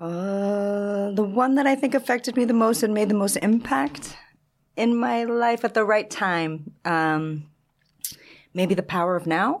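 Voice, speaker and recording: This is a plain, everyday voice, moving at a fairly slow pace with lively intonation and very even loudness. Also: woman, medium pitch for a woman. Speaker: wine professional and teacher. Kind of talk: casual chat.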